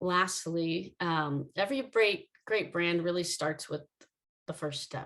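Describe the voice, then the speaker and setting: A woman talks at a fairly slow pace, her fairly low pitch moving with ordinary variation, in a plain, everyday voice. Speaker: brand marketing founder and conference speaker. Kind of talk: conference talk.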